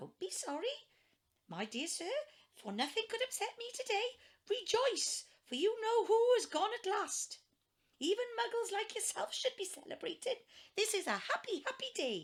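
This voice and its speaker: A woman performs a put-on character voice, squeaky and extremely high-pitched, raised and projected. Her intonation is lively and her pace moderate. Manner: joyful, gleeful.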